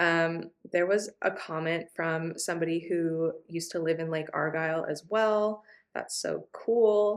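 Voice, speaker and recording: A woman with an American accent has a plain, everyday voice, fairly low in pitch and fairly even in intonation. She speaks at a fairly slow pace on a very clean recording with a silent background. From California, US. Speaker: travel vlogger. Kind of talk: casual chat. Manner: casual, many fillers.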